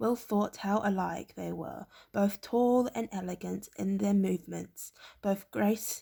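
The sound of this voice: A reading voice, unforced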